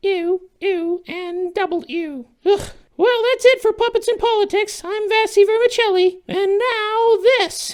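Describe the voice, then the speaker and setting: A put-on character voice at an extremely high pitch, at a fairly slow pace. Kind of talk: comedic satire sketch.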